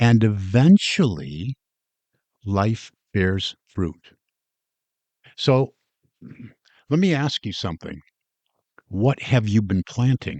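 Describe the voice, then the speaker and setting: Heard in a dry, close sound with no echo, a man with a fairly low pitch and lively intonation speaks at a very slow pace, pausing long and often. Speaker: podcast host. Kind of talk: motivational podcast talk. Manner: deliberately slowed with pauses.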